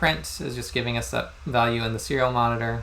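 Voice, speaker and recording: A man talks at a moderate pace, and there is an audible room echo around his voice. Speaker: instructor. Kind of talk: lecture.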